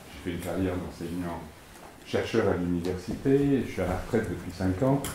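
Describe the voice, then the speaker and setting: A man with lively intonation keeps a moderate pace amid audible room echo and noticeable background noise. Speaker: retired sociologist. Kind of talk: lecture. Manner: halting.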